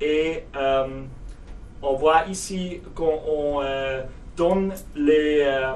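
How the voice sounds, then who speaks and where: A man with a German accent speaks at a very slow pace, with long, frequent pauses and fairly even intonation. Audible room echo and noticeable background noise surround him. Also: fairly high pitch for a man. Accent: German-speaking, non-native French. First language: German (speaking French). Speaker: software company representative. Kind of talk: product demo tutorial. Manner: halting, many hesitations.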